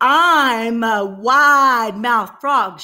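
A woman's put-on character voice, fairly high in pitch. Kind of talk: children's story read-aloud. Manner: playful, storytelling.

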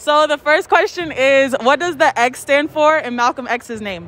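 A woman's high, fairly bright voice with ordinary pitch variation. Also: moderate pace.

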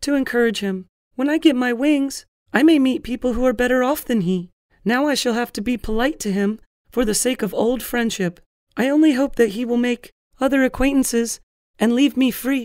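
A man does a put-on character voice at an extremely high pitch. He talks at a fairly quick pace with ordinary pitch variation.

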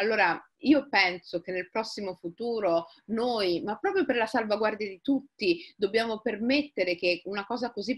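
The voice moves at a fairly slow pace with ordinary pitch variation against a quiet background. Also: woman. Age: 40s. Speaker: writer. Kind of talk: interview conversation. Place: home room. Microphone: webcam.

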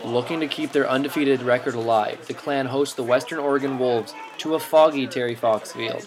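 A man with a fairly high pitch, over noticeable background noise. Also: fairly quick pace. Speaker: sports narrator. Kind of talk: sports highlight narration, recapping game play-by-play. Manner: brisk, energetic play-by-play delivery.

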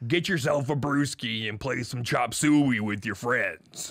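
A man's put-on character voice, medium in pitch, delivered fairly slowly. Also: very clean recording, silent background. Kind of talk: radio announcer. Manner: smooth, announcer-like.

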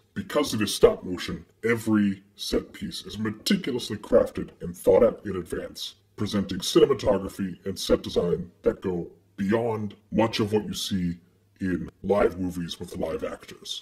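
At a moderate pace, the lines come out in a put-on character voice. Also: man, fairly low pitch for a man. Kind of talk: movie introduction. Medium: horror host video. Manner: broken third-person speech.

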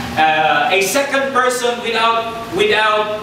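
A man speaks at a high pitch in a room with strong echo and light background noise. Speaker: preacher. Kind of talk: sermon. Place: church.

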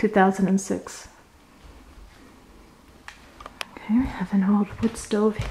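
A woman talks over light background noise. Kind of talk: casual vlog commentary. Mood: curious, slightly wary. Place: empty room. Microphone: phone near.

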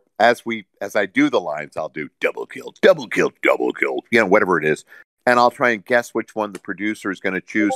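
At a fairly quick pace, a man speaks in a dry, close recording with no echo. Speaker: voice actor. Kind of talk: interview answer.

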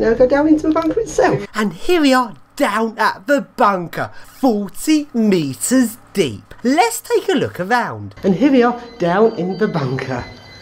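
Music plays in the background. The speaker goes at a fairly slow pace. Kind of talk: casual vlog commentary. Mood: excited, disgusted at smells. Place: tunnel cave. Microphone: phone near.

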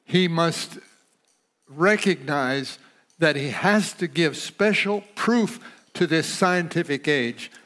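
A high-pitched man speaks very slowly, with long, frequent pauses and ordinary pitch variation. The background is quiet. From United States. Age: 80s+. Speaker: pastor. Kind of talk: sermon. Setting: church auditorium. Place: studio.

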